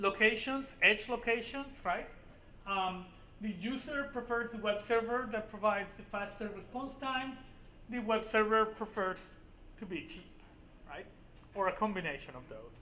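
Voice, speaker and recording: A raised, projected voice at a moderate pace, with ordinary pitch variation, big swings in loudness, long and frequent pauses, and audible room echo. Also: man, high pitch for a man. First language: Spanish. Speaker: university professor. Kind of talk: lecture. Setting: classroom with students. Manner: casual with frequent fillers.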